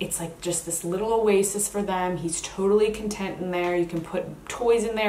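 Amid noticeable background noise and audible room echo, a woman at a medium pitch talks at a moderate pace with monotone, flat intonation. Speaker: vlogger and plant-based coach. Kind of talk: casual product review vlog. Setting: bedroom at her mother's house.

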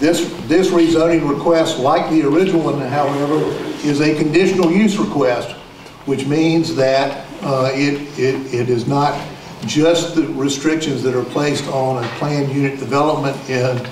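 Light background noise and audible room echo around a man speaking at a moderate pace with fairly even intonation. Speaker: attorney presenting a rezoning case. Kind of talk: presentation to community meeting. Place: meeting room.

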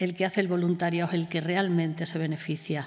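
A woman's dark, mellow tone over a quiet background. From Extremadura, Spain. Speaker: clinical psychologist; conference speaker. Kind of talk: conference talk. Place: hall. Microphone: podium.

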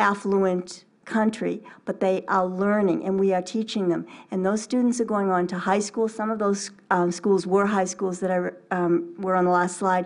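A woman at a moderate pace, monotone and flat in intonation, over a quiet background. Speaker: religious sister. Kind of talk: informal talk. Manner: halting. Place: hall. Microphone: podium.

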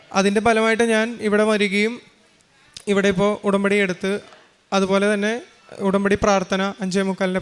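A man speaks at a high pitch in a monotone, flat intonation. Noticeable background noise runs beneath him. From Kerala, Thrissur. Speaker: engineering graduate giving testimony. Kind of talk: testimony.

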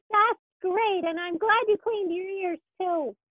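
A cartoonish character voice sits at an extremely high pitch. It moves at a moderate pace. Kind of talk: children's puppet show. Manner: upbeat, excited.

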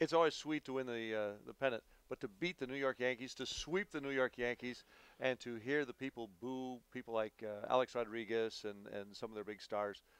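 This man has an unremarkable speaking voice at a medium pitch, with ordinary pitch variation and a dry, close sound with no echo. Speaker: public address announcer. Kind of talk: interview answer.

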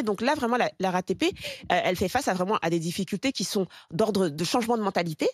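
A woman talks at a fairly quick pace. The background is quiet and the sound is dry with no echo. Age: 40s. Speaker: talk show pundit. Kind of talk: panel debate on talk show. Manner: halting, many repetitions and fillers. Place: studio. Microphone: studio mic.

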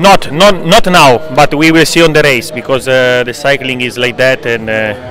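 Recorded dry with no echo, a man speaks at a moderate pace over light background noise. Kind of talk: interview answer. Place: street. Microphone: handheld.

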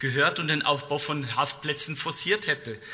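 Fairly even intonation from a man, moderate in pace. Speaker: politician. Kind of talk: parliamentary speech. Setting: parliament chamber. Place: hall. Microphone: podium.

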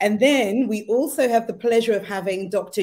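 A woman with a dark, mellow tone speaks at a moderate pace with ordinary pitch variation. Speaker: co-host. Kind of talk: guest introduction. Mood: warm, excited. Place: home room.

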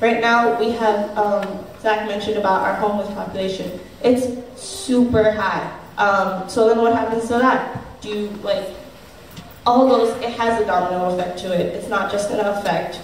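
A woman speaks at a moderate pace with fairly even intonation. There is audible room echo and light background noise. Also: fairly high pitch for a woman. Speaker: panel moderator. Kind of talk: event moderation and questions. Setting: stage with live audience. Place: hall.

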